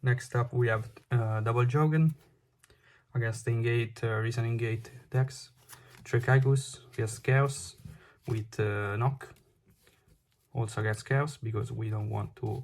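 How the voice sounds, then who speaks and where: Recorded very cleanly against a silent background, a man talks somewhat breathily at a fairly slow pace, with fairly even intonation and long, frequent pauses. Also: medium pitch for a man. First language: Italian. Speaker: card game player. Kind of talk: unscripted deck profile tutorial. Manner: halting, many fillers.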